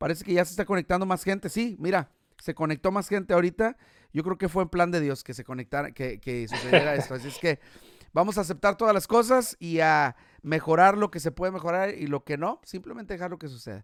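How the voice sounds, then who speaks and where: A man speaks at a very fast pace in a high voice with lively intonation and big swings in loudness. The recording is very clean, with a silent background and a dry, close sound with no echo. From Mexico, Guadalajara, Jalisco. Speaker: podcast host. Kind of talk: casual interview chat. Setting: live stream.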